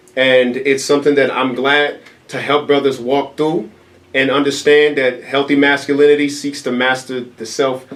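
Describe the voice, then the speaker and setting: A medium-pitched male voice against noticeable background noise. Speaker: event organizer. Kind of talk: interview. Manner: fast.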